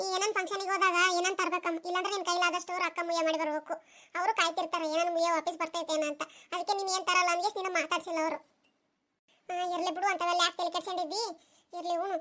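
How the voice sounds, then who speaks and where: A woman does a cartoonish character voice at an extremely high pitch. Her intonation is monotone and flat, and her pace fairly quick. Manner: chatty, matter-of-fact.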